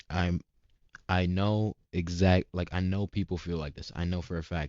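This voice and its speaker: A man's very deep, low voice at a moderate pace, monotone and flat in intonation. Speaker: vlogger, student entrepreneur. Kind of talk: casual vlog update. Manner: halting, stumbling; casual slang-heavy.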